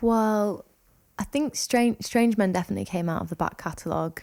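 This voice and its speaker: A woman speaks in a Lancashire accent with ordinary pitch variation. The recording is very clean, with a silent background. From northern England. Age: 20s. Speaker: singer-songwriter. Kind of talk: interview.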